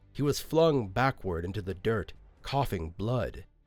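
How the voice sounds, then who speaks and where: With music in the background, the speaker talks at a fairly slow pace with lively intonation. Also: man. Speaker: fantasy audiobook narrator and creator. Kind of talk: fantasy audiobook narration.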